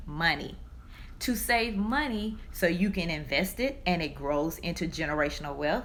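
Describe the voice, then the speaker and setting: A woman's medium-pitched voice in a Southern US accent, bright and sharp with vocal fry, at a fairly slow pace amid audible room echo. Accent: Southern country. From US South. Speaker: personal finance speaker. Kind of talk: live stream talk. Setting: live stream.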